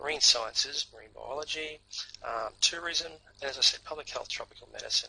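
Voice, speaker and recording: With a strong North Queensland accent, a man talks at a fairly quick pace amid noticeable background noise. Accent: strong North Queensland Australian. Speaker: university representative. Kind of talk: online presentation. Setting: online seminar. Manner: hesitant, many fillers.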